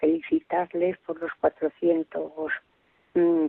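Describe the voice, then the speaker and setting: A woman speaks at a very slow pace in a fairly low pitch. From Spain, Zamora province (Villalpando). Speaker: radio listener calling in. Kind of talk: call-in chat. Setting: phone call.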